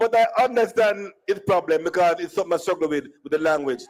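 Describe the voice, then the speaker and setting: A man speaking at a moderate pace. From Jamaica. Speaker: speaker at diaspora conference, storyteller. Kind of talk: conference talk, humorous personal storytelling. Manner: animated.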